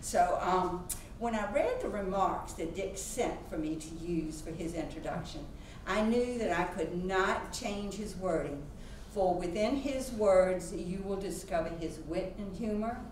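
A woman talks at a fairly slow pace, her medium pitch showing ordinary variation. Audible room echo and light background noise are present. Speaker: museum president introducing a speaker. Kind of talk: formal introduction speech. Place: classroom.

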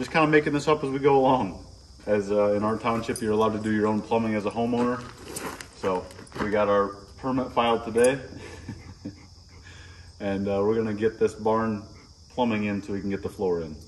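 Against light background noise, a man with an ordinary speaking voice talks fairly quickly at a fairly low pitch with ordinary pitch variation. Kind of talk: tutorial. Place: open country. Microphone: camera far.

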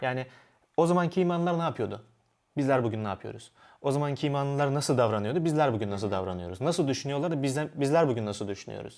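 In a very clean recording with a silent background, a man speaks very fast with lively intonation. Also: fairly high pitch for a man. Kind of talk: panel discussion.

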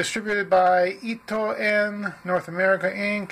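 Light background noise runs under the recording. A man is speaking. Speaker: product reviewer. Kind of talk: casual product review, reading label. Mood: dry, wry humor. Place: home room. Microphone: phone near.

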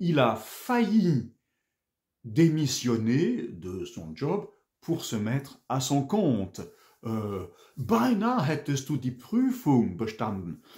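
Over a quiet background, a man speaks at a very slow pace with long, frequent pauses, very wide pitch swings and a somewhat breathy quality. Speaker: French teacher. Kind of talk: language lesson. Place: home room. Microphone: webcam.

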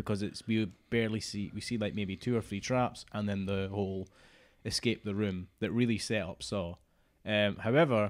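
With a plain, everyday voice, a man speaks at a fairly low pitch and moderate pace, his intonation fairly even against a quiet background. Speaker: podcast co-host. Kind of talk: podcast discussion. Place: home room. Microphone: studio mic.

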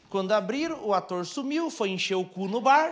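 A man talks in an animated tone. His intonation is lively. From Brazil. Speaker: stand-up comedian. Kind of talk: stand-up comedy set, storytelling with acted-out bits. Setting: stage with audience, small theatre. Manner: animated, fast, punchy storyteller; plays characters with mimicry and sound effects. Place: stage. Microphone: handheld.

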